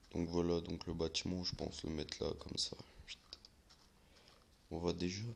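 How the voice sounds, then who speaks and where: Soft-spoken, a man talks at a moderate pace. He leaves long, frequent pauses. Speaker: gaming youtuber. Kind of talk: gameplay commentary. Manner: halting, many fillers.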